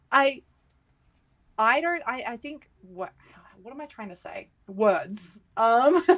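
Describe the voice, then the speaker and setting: With an Australian accent, a woman talks very slowly at a high pitch, her loudness swinging widely, her pitch swinging very widely, and her speech broken by long, frequent pauses. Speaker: streamer. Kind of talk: casual chat. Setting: live stream.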